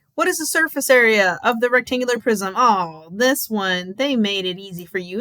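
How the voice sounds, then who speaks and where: A woman with an American accent, very wide pitch swings, a fairly quick pace, and a dry, close sound with no echo. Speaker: math teacher. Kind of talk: tutorial.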